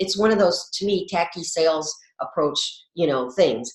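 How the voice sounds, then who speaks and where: An ordinary speaking voice from a woman, medium in pitch with ordinary pitch variation, at a moderate pace. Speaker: wellness coach. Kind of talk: co-hosted educational video.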